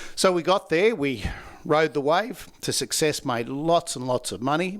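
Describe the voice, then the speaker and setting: At a moderate pace, a man with an Australian accent speaks at fairly high pitch. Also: lively intonation. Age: 60s. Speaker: laughter yoga trainer. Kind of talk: podcast interview.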